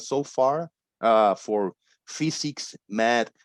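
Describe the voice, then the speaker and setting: A man in a Spanish accent at medium pitch, ordinary pitch variation, with a dry, close sound and no echo. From Puerto Rico. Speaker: former flat earther, online debate panelist. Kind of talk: casual chat. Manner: halting.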